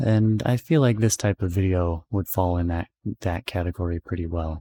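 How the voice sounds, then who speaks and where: Soft-spoken and relaxed in tone, a man talks at a moderate pace with fairly even intonation, the sound dry and close with no echo in a very clean recording with a silent background. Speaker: ASMR channel host. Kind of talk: soft-spoken ASMR ramble to camera. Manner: soft-spoken, relaxed.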